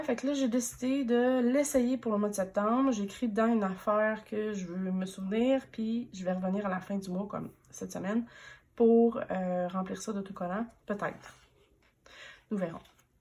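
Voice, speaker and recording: Her voice is somewhat breathy, with a fairly high pitch and ordinary pitch variation. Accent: Quebec. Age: 30s. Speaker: planner vlogger. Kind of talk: casual show-and-tell vlog. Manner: hesitant, many fillers.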